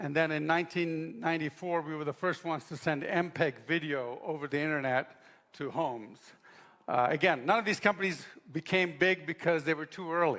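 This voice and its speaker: A man talks at a fairly quick pace, his pitch fairly high with ordinary variation. His tone is bright and sharp. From Africa and Middle East, Indian parents. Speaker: apologetics speaker, engineer. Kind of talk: seminar talk. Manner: conversational, many fillers.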